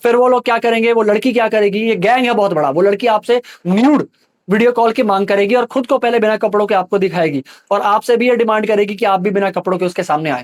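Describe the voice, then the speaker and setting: Keeping his loudness very even, a man speaks in a high pitch with ordinary pitch variation. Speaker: social media creator giving a scam warning. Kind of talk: public warning video. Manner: fast; urgent, pleading.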